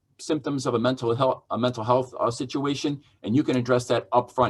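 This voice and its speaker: A somewhat breathy voice is heard. It belongs to a man. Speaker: judge. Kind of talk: lecture. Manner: fast.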